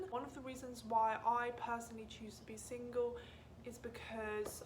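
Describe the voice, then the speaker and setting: A woman speaks at a fairly high pitch. The room echoes audibly, and there is noticeable background noise. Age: 20s. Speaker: lifestyle vlogger. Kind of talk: casual chat.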